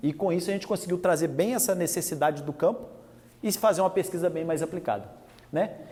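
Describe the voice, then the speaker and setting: A man talks at a very fast pace. His voice is high-pitched with ordinary pitch variation. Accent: Minas Gerais. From Minas Gerais, Brazil. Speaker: animal scientist and industry technical manager. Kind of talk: lecture. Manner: talkative.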